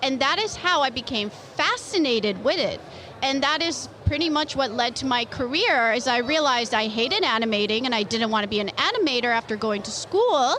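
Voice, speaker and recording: A speaker with a Canadian accent talks at a fairly quick pace, using lively intonation. Noticeable background noise runs under the voice. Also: woman, high pitch for a woman. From Canada. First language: Polish. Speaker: comic book artist. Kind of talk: interview.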